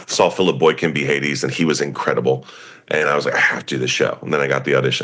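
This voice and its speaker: A man with an American accent speaks in a very deep, low pitch. His voice has vocal fry. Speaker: stage actor. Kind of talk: interview. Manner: loud; animated.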